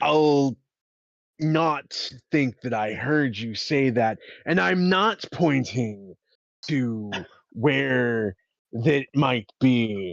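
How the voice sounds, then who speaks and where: Recorded with a dry, close sound and no echo, a man uses a put-on character voice at a medium pitch with lively intonation. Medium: actual play. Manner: warm, formal.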